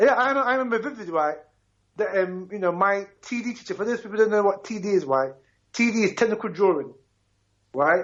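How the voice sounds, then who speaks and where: A man speaks very fast with an animated tone and lively intonation. His pitch is high, and he takes long, frequent pauses. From Ghana, then London. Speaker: radio talk show host. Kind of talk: radio talk show discussion.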